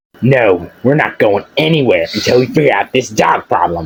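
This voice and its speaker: Using a cartoonish character voice at a medium pitch, a man talks at a moderate pace. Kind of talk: comic overacting. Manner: shrill, indignant, melodramatic.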